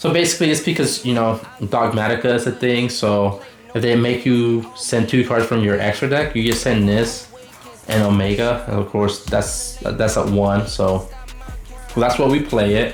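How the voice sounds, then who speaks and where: Someone with a non-native accent talks at a moderate pace. Music plays in the background. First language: not English. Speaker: card game YouTuber. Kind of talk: deck profile tutorial. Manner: halting, many fillers.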